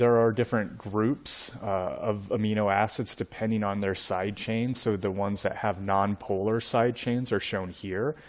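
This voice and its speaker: A man's voice at a moderate pace, with fairly even intonation. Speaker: university lecturer. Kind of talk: lecture. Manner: monotone; halting, many fillers.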